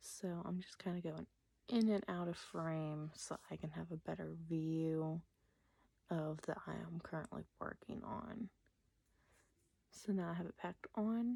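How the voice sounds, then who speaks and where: A soft-spoken woman with a dark, mellow tone and ordinary pitch variation talks with long, frequent pauses. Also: fairly slow pace. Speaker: makeup artist. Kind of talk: makeup tutorial.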